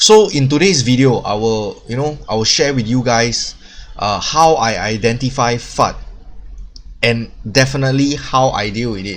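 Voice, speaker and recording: There is audible echo in the room. A man talks at a medium pitch. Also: ordinary pitch variation, moderate pace. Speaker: crypto YouTuber. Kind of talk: casual video monologue. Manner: filler-heavy, halting.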